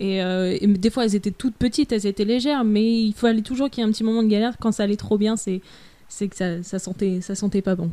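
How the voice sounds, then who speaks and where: A dark, mellow tone comes through at a very fast pace in a very clean recording with a silent background. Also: woman. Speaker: freelancer travelling the world. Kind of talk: casual interview.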